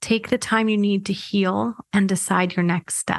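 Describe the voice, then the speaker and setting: This woman has a plain, everyday voice at medium pitch, speaking at a fairly slow pace with fairly even intonation. The sound is dry and close with no echo, against a quiet background. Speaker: IVF mindset coach and podcast host. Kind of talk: pep talk. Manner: warm, reassuring, earnest; gentle, steady, encouraging.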